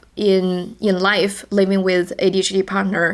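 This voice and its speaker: A woman with a Chinese accent is heard on a very clean recording with a silent background. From China. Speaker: podcast co-host. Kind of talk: casual podcast chat. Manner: halting, repeats words.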